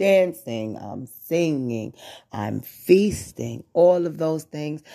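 A man at a very slow pace. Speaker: worship leader. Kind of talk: praise and worship talk.

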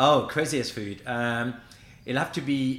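This man has a French accent. His intonation is fairly even. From France, Brittany. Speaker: pastry chef. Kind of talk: casual chat. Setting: studio.

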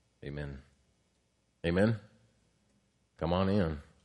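Pitch varying in an ordinary way, a man talks with a very deep, low voice. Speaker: Bible class teacher. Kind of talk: lecture. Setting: church sanctuary. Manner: casual, conversational.

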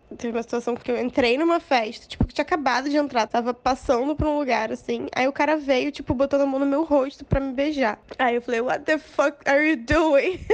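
The speaker barely pauses at all. The pace is fairly quick, and the intonation stays fairly even. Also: woman, high pitch for a woman. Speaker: listener. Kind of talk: testimony.

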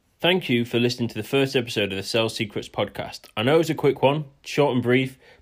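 On a very clean recording with a silent background, a man talks at a very fast pace with hardly any pauses. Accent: East Yorkshire. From northern England, near Hull. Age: 20s. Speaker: podcast host, salesperson. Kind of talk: solo podcast monologue.

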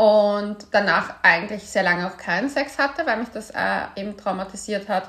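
Here a woman uses a normal speaking voice at medium pitch. Her pace is moderate and her pitch variation ordinary. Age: 30s. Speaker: podcast host and author. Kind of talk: casual chat.

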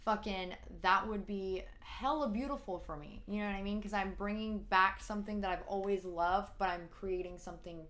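A woman speaks at a fairly quick pace in a plain, everyday voice. Her pitch is medium and her intonation fairly even. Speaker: singer. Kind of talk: casual chat.

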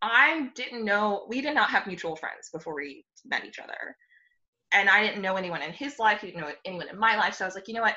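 A woman with an American accent has a normal speaking voice at a medium pitch, talking at a fairly quick pace. Her intonation is lively, and her loudness swings widely. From Texas. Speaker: pediatric doctor. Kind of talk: casual chat.

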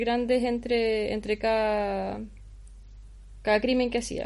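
A woman with a Chilean accent, fairly high in pitch, at a fairly slow pace. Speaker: podcast co-host. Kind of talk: casual chat.

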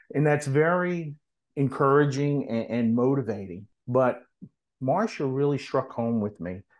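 A man with an American accent has an unremarkable speaking voice with lively intonation. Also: medium pitch for a man, fairly slow pace, quiet background. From US South, New Orleans. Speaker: nurse practitioner and nonprofit founder. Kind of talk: casual interview.

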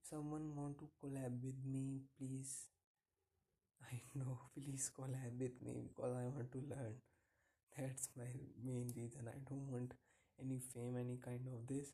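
A man with an Indian accent speaks at a fairly slow pace, with long, frequent pauses. His medium-pitched voice is somewhat breathy, with a dark, mellow tone and monotone, flat intonation. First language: Hindi. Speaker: podcaster. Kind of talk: casual monologue. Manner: halting.

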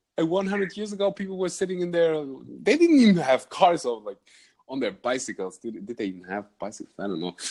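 In a German accent, a man talks very fast at a high pitch with very wide pitch swings, in a very clean recording over a silent background. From Germany. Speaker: podcast host and vlogger. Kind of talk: casual interview chat.

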